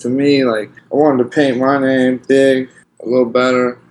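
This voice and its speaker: This man has a medium-pitched voice. He talks with an American accent. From US West Coast, Portland area. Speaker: graffiti artist. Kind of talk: casual interview. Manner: animated.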